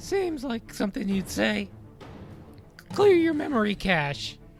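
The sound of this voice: A squeaky, fairly high put-on character voice at a fairly slow pace, with clear music in the background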